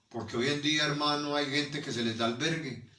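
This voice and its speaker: Speaking at a moderate pace with fairly even intonation, the voice carries audible room echo. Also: man. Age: 60s. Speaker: pastor. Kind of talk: sermon.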